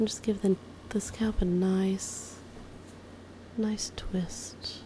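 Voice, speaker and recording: The voice is a woman's whisper. Her words come very slowly. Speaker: amateur massage ASMR creator. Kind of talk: ASMR massage narration. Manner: soft-spoken.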